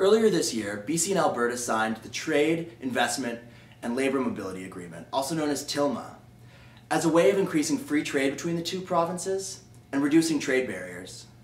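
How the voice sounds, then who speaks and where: Over noticeable background noise, a man speaks at a fairly quick pace in a fairly high voice with very wide pitch swings. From Calgary, Alberta, Canada. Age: 20s. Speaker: political contest entrant. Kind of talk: prepared policy speech to camera.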